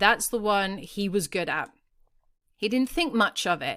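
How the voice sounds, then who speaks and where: Over a very clean recording with a silent background, a woman with an Australian accent speaks at a fairly slow pace, with a fairly high pitch and ordinary pitch variation. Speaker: parenting podcast host. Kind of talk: podcast monologue, storytelling. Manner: conversational.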